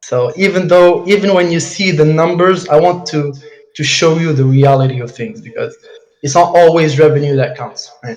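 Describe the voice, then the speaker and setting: A man with a fairly high pitch and ordinary pitch variation speaks with audible room echo. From Morocco. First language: Arabic and French. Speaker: dropshipping entrepreneur. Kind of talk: case study presentation on a live call. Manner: halting, stumbling over words.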